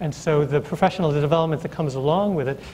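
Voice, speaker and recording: Against noticeable background noise, a man with an American accent speaks at a very fast pace with fairly even intonation. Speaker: early childhood education professor. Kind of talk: panel discussion. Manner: halting, many fillers and repetitions.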